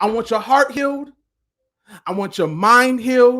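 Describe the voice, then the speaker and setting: Shouting loudly at an extremely high pitch, a man sounds animated and passionate, his tone bright and sharp. His pace is moderate, and his pitch variation is ordinary. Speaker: motivational speaker and life coach. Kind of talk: live-streamed motivational talk. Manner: animated, passionate; loud, yelling.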